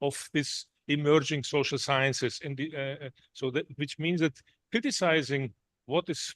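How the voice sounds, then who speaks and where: A man's fairly high voice with a non-native accent, in a dry, close sound with no echo. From Germany. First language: not English. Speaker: visiting professor. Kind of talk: lecture. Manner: halting, many fillers and restarts.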